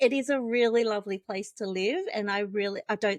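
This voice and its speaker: A woman with an Australian accent speaks at a fairly high pitch with ordinary pitch variation, in a dry, close sound with no echo. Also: quiet background. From Australia, Wollongong. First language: Vietnamese. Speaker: NDIS compliance consultant, business founder. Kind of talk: casual interview chat.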